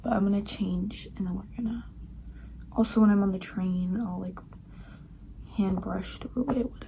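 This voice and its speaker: Noticeable background noise and audible room echo accompany a woman speaking at a moderate pace. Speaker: vlogger, university student. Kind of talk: casual vlog chat. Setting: at home. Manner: whispering. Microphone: no external mic, poor sound.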